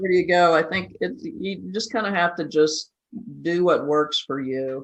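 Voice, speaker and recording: A woman speaks in a normal speaking voice that is fairly low in pitch. Her intonation is lively and her pace moderate. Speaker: podcast host. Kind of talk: casual podcast conversation.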